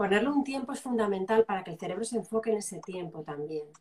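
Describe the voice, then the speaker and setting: A woman talks at a fairly quick pace with lively intonation and a somewhat breathy voice. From Spain, Zaragoza (Aragon). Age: 40s. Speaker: journalist, coach and writer. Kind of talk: live interview.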